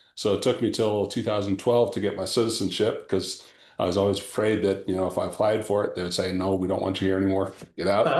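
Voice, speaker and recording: A man's fairly low, monotone voice with flat intonation at a very fast pace, with a Canadian accent and audible room echo. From Canada (Ontario). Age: 60s. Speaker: entrepreneur. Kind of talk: casual chat.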